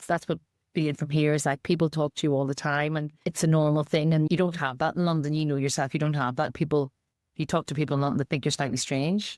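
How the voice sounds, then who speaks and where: With a strong Northern Irish accent, a woman talks at a very fast pace in a very deep, low pitch, with fairly even intonation and very even loudness. The recording is very clean, with a silent background and a dry, close sound with no echo. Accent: Northern Irish, kept strong. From Northern Ireland. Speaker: charity chief executive, former anti-discrimination campaigner. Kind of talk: podcast interview.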